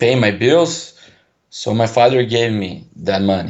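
A man with a Portuguese accent at a very slow pace. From Brazil. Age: 20s. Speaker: caller. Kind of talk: call-in conversation. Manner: halting.

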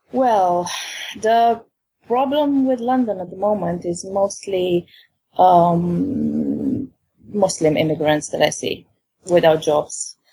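In a Romanian accent, a woman with a dark, mellow tone and a somewhat breathy, medium-pitched voice speaks at a very slow pace with lively intonation and long, frequent pauses. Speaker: caller. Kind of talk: call-in conversation. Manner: halting.

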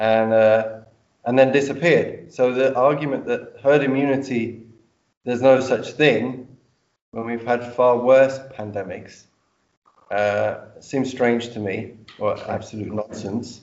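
In a London accent, the speaker goes at a fairly slow pace with long, frequent pauses and fairly even intonation. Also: man, medium pitch for a man. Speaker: audience member. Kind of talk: Q&A question.

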